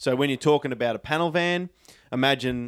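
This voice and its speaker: A man with an Australian accent and a fairly high pitch, at a fairly quick pace, in a very clean recording with a silent background. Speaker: tobacco pipe maker. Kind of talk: casual chat. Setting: at his home.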